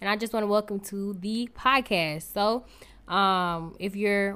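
This is an unremarkable speaking voice with an American accent, at a fairly slow pace with ordinary pitch variation. The recording is very clean with a silent background. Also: woman. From New Jersey (Newark). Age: young. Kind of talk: casual solo podcast intro.

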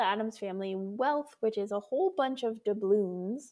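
Speaking at a moderate pace, a woman has a fairly high pitch and an unremarkable speaking voice. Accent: American. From Colorado. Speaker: podcast co-host and pastor. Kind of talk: casual chat.

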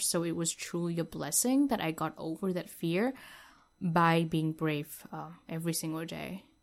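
The woman speaks fairly slowly with vocal fry, a fairly low pitch and fairly even intonation.

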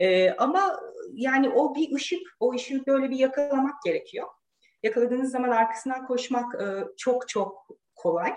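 A woman with a high voice and lively intonation keeps to a middling tempo. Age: 40s. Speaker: engineer and professor. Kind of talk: casual interview.

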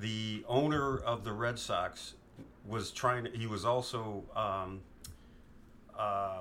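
The tone is bright and sharp, in an American accent. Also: man. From New York. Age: 50s. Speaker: father of the host. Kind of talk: interview. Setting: home.

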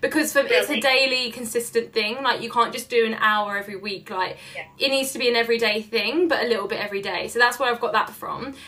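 Speaking at a fairly quick pace with a London accent, a woman uses a fairly high pitch, ordinary pitch variation and an enthusiastic, animated tone. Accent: London English, noticeable. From London, England. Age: 20s. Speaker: social media entrepreneur guest. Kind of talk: casual interview chat. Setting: remote call.

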